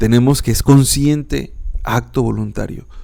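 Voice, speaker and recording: Calm and relaxed in tone, a man speaks very slowly with lively intonation. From northern Mexico. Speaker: philosophy podcaster and teacher. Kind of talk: educational podcast lecture. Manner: calm, relaxed.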